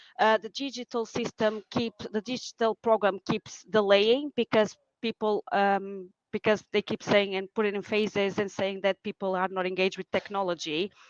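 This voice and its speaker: In a Portuguese accent, a woman with a medium-pitched voice talks at a moderate pace and with fairly even intonation, the sound dry and close with no echo. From Portugal. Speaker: nurse. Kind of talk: casual chat. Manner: halting.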